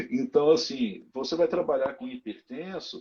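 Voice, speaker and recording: A man's fairly high voice comes through at a fairly slow tempo. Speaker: physical education professional in hospitals. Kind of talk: live stream interview.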